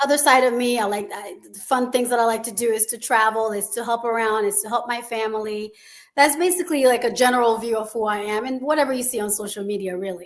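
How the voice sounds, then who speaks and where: Speaking very fast in a Haitian accent, a woman uses a fairly high voice with ordinary pitch variation and big swings in loudness, in a very clean recording with a silent background. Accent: Caribbean (Haitian). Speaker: school founder. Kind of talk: interview.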